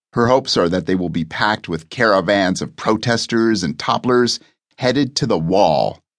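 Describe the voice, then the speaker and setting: The intonation is lively, with vocal fry in the voice. The background is quiet. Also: man. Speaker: audiobook narrator. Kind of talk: scripted audiobook narration with character voices. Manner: switches into mock news-anchor and reporter voices.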